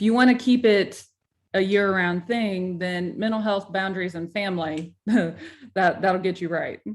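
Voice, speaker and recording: Speaking at a moderate pace, a woman uses a plain, everyday voice at medium pitch with fairly even intonation. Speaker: podcast coach. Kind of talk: interview. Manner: casual.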